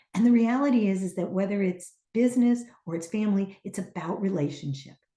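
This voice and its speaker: A woman talks at a fairly quick pace in a dark, mellow, somewhat breathy tone. Her pitch is medium, with ordinary variation. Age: 60s. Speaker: teacher and trainer. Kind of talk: casual chat.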